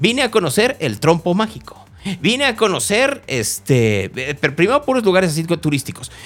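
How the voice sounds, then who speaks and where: With music in the background, this voice's pitch swings very widely. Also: man. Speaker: radio host. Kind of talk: radio talk show.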